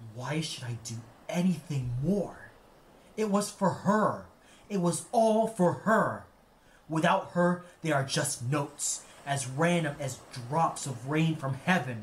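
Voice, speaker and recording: Putting on a growling, gruff character voice, a man speaks fairly slowly at a fairly high pitch with lively intonation and long, frequent pauses. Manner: bitter, gruff.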